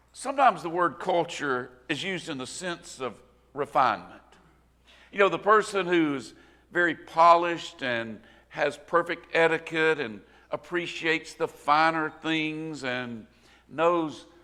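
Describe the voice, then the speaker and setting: A man with a Southern US accent, a fairly high pitch, a bright, sharp tone, ordinary pitch variation and a fairly slow pace. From US South, rural Northwest Florida. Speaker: preacher. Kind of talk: sermon. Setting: church.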